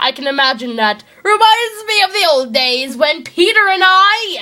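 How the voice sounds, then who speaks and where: A woman speaks in a put-on character voice at an extremely high pitch. Her pitch swings very widely at a moderate pace. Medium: read story. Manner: teasing, soft.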